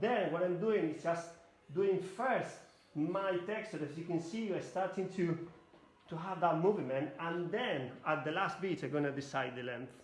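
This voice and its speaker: A man with a Spanish accent and a high pitch speaks at a moderate pace with ordinary pitch variation, over noticeable background noise and audible room echo. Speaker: hairdresser educator. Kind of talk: live demonstration tutorial. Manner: halting non-native English.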